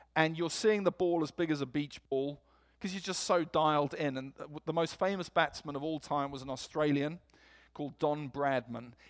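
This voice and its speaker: An animated, fairly high male voice at a moderate pace with ordinary pitch variation, on a very clean recording with a silent background. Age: 40s. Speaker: preacher. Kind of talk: sermon. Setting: church. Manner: animated, humorous.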